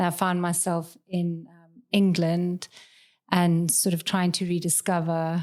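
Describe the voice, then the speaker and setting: Recorded very cleanly against a silent background, a woman with a South African accent speaks at a fairly slow pace in a monotone, flat intonation. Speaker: law lecturer. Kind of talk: casual chat.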